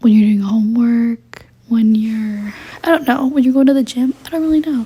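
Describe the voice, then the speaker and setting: The speaker goes at a fairly quick pace with fairly even intonation over noticeable background noise. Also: woman. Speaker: podcast host, college student. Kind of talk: casual chat. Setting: home at night. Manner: rambling, hesitant with many ums.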